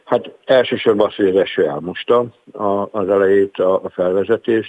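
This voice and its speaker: A man speaks at a moderate pace. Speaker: teachers' union vice president. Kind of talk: radio interview. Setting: phone call. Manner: halting, with filler sounds.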